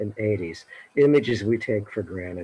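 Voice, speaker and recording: A somewhat breathy man's voice, fairly low in pitch with ordinary variation, at a moderate pace. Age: 60s. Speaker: retired science educator. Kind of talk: casual chat. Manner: halting.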